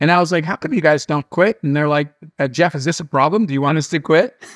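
Over a quiet background, a man talks at a very fast pace with ordinary pitch variation and a dry sound with no echo. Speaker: interview guest. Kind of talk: interview answer, storytelling. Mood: animated, amused. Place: home room. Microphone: webcam.

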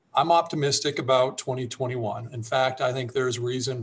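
Somewhat breathy, a man speaks with fairly even intonation. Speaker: economic development executive. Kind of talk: panel discussion. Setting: video call. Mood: measured, optimistic. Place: office. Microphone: webcam.

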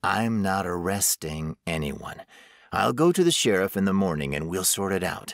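The voice sounds natural. It is reading aloud.

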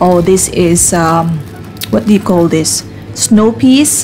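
Faint music plays in the background as a woman speaks at a very slow pace in a fairly low pitch. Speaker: vlogger shopping. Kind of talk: casual vlog chat. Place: shop. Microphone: phone near.

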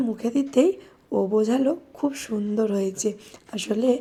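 Her voice is fairly high in pitch, with a dark, mellow tone. The woman sounds somewhat breathy, with ordinary pitch variation. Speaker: vlogger, mother. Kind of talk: vlog voice-over narration.

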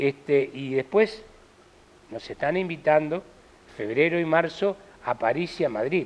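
Speaking at a fairly slow pace, a man with a fairly high voice uses lively intonation. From Argentina. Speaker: stage actor. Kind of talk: interview. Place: studio. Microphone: lapel.

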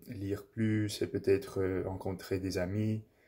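Against a quiet background, a man talks in a fairly low, dark and mellow voice with flat, monotone intonation. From English-speaking Canada. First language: English (speaking French). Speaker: language learner vlogger. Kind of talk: casual monologue, language practice. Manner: halting, many fillers and self-corrections. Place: home room. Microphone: phone near.

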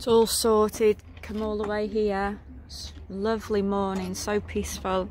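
A woman at a fairly slow pace, dry sound with no echo, light background noise. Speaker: family sailor vlogger. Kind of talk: casual vlog chat. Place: boat. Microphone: phone near.

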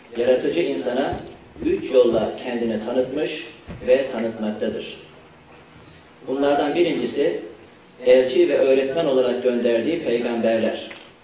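At a fairly slow pace with long, frequent pauses, the speaker keeps a fairly even intonation amid light background noise and audible room echo. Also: man. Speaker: university rector. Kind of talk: formal opening speech. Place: hall. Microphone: podium.

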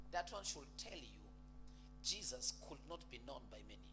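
The voice moves at a moderate pace against noticeable background noise. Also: man. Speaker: preacher. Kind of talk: sermon. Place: church. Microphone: handheld.

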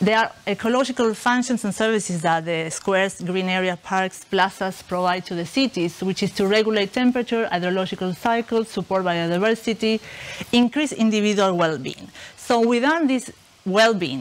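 With an Argentine accent, a woman speaks with ordinary pitch variation. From Argentina, Buenos Aires. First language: Spanish. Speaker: researcher. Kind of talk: lecture. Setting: stage with audience. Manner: halting, many fillers. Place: classroom.

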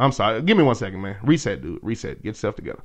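Against a quiet background, a man talks at a very fast pace in an animated tone with lively intonation. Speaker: radio host. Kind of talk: casual chat.

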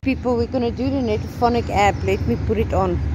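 Here a woman speaks at a moderate pace. The sound is dry with no echo, with noticeable background noise. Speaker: paranormal investigator vlogger. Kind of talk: casual vlog chat. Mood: hushed, expectant. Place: waterside. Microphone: phone near.

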